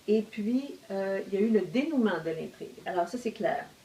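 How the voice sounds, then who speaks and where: A woman of medium pitch speaks in a Quebec accent over noticeable background noise. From Quebec, Outaouais region. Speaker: novelist. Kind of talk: casual discussion. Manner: hesitant, many fillers.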